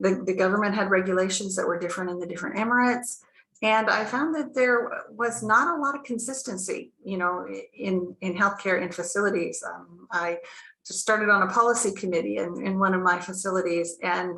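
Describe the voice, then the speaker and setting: In an American accent, a woman talks at a fairly quick pace with a bright, sharp tone, medium pitch and ordinary pitch variation, with audible room echo. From United States. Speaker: healthcare clinic founder. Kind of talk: webinar panel talk. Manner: hesitant, many fillers.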